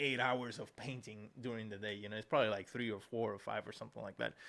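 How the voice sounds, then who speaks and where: Speaking at a very fast pace with fairly even intonation, a man talks in a Spanish accent. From Puerto Rico. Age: 40s. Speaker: digital artist, podcast host. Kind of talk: casual interview chat.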